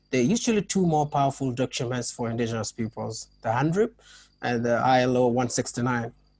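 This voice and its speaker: A man speaks at a moderate pace with a non-native accent. His pitch is medium and his intonation lively. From Kenya. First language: not English. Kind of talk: panel discussion. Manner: halting, many fillers and restarts.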